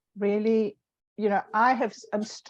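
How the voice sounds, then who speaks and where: At a moderate pace, a woman speaks in a South African accent, the sound dry and close with no echo. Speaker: online show host. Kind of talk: casual chat. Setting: live stream video call.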